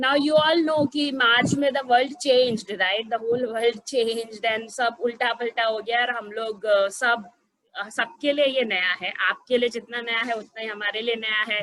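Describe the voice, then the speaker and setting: A woman speaks with a fairly high pitch and fairly even intonation. She hardly pauses at all. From Gujarat, India. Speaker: program head in education. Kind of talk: information webinar presentation. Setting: online webinar. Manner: hesitant with many fillers.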